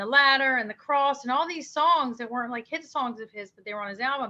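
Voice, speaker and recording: A woman with an American accent speaks at a fairly quick pace and a high pitch. Her tone is bright and sharp, with ordinary pitch variation. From Maryland, US. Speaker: singer-songwriter. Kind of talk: interview.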